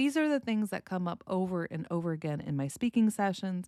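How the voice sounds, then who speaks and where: A woman's normal speaking voice at a medium pitch, with lively intonation and a dry, close sound with no echo, on a very clean recording with a silent background. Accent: General American. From United States. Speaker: speech coach. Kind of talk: educational podcast, pronunciation lesson.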